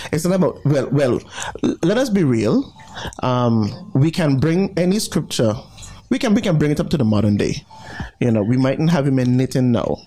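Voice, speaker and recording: A man's voice with very wide pitch swings, very even loudness and long, frequent pauses over noticeable background noise. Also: fairly high pitch for a man, moderate pace. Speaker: radio co-host. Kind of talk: casual radio banter. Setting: radio studio.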